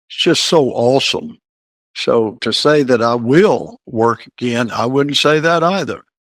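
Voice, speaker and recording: At a very slow pace, a man speaks with ordinary pitch variation in a dry, close sound with no echo. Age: 70s. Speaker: retired college football coach. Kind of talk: interview.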